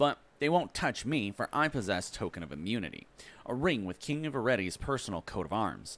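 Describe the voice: Lively intonation in plain reading aloud.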